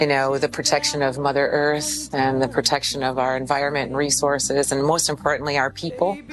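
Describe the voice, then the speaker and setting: A woman's very deep, low voice in an American accent, fairly quick and flat in a monotone, with hardly any pauses and noticeable background noise. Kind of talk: interview.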